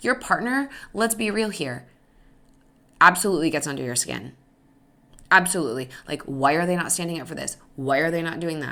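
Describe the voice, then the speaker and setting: Her tone bright and sharp with vocal fry, a woman talks at a fairly quick pace in a fairly low pitch that makes very wide swings. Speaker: podcast host and stepmom coach. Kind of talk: solo podcast talk. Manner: fast.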